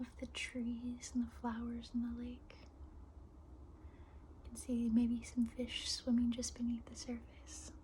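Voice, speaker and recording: A woman at a very slow pace, big swings in loudness, over noticeable background noise. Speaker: meditation guide. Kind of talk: guided meditation. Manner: soft-spoken, whispered, slow.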